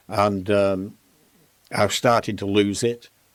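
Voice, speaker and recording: A man with a Lancashire accent and a fairly low pitch, on a very clean recording with a silent background. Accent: Lancashire (Bolton). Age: 80s+. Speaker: fitness industry pioneer, gym founder. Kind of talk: interview storytelling. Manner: animated.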